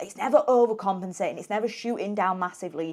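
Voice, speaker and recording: A woman with a British accent at a very fast pace. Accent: British accent, noticeable. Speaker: health and weight loss coach. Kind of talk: podcast interview.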